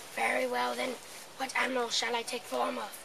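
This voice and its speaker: Delivered at a fairly quick pace, a put-on character voice comes through over loud background noise. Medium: stage play. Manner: menacing, boastful.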